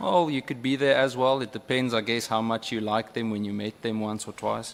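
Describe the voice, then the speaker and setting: A man speaks with a South African accent at a fairly quick pace, his pitch medium and his intonation fairly even. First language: Afrikaans. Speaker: member of parliament. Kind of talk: parliamentary questioning. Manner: halting.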